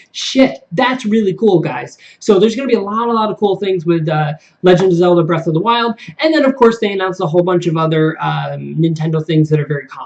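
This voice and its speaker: Very rapid speech from a man, pitched high, with ordinary pitch variation over noticeable background noise. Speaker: gaming video host. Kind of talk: casual video commentary. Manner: fast; hesitant fillers.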